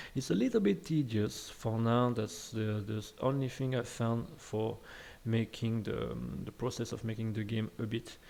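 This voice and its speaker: In a French accent, a man talks at a moderate pace with a dark, mellow tone and fairly even intonation. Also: medium pitch for a man. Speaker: game development tutor. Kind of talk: tutorial. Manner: hesitant, many fillers.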